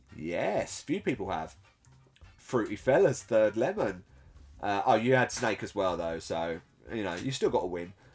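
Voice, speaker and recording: Music plays in the background as a man with a fairly low pitch speaks at a moderate pace. His intonation is lively, broken by long, frequent pauses. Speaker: tournament commentator. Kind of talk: live commentary.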